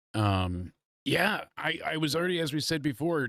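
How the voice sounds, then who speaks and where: A man's animated, fairly high-pitched voice with very wide pitch swings at a moderate pace, dry and close with no echo, on a very clean recording over a silent background. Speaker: wrestling review host and musician. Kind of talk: live stream casual review chat.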